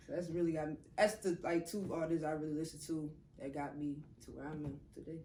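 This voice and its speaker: Talking very fast with a New Orleans accent, a woman uses a very deep, low pitch and fairly even intonation. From New Orleans, US South. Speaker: rapper. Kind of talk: interview. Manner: casual.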